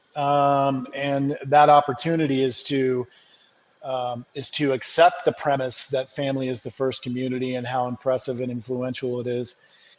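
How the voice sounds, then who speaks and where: A man speaks at a fairly slow pace, his pitch fairly high. He has an ordinary speaking voice. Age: 60s. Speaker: family recovery coach. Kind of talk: interview.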